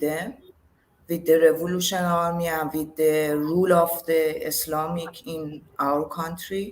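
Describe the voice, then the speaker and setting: A woman speaks with a Persian accent. Her pace is very slow. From Iran, Tehran. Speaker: yoga teacher. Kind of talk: interview, personal testimony. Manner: halting. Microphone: too quiet.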